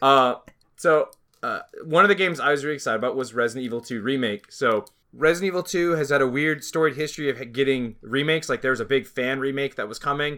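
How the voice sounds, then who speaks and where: A man talks at a very fast pace with a fairly high pitch. His tone is bright and sharp, with ordinary pitch variation. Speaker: video game podcast host. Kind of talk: casual chat.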